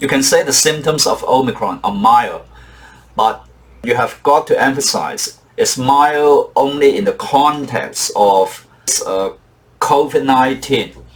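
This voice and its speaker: A man speaks at a very slow pace with long, frequent pauses. Noticeable background noise runs under his voice. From Hong Kong. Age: old. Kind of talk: casual talk to camera.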